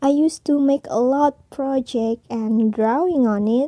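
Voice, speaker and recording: Speaking at a very slow pace with an Indonesian accent, a woman has a high pitch, a dark, mellow tone, and ordinary pitch variation, recorded with a dry, close sound and no echo. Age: 20s. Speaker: podcaster. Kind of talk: personal monologue.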